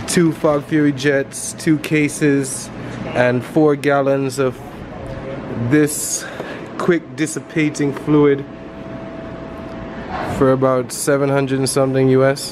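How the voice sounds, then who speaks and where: Over noticeable background noise, a man speaks very slowly in a monotone, flat intonation, with long, frequent pauses. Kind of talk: casual vlog chat. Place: hall. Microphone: phone near.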